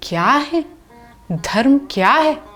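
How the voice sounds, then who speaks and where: Background music accompanies a woman as she talks. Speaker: dastango storyteller. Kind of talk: dastangoi storytelling narration. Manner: expressive, earnest storytelling.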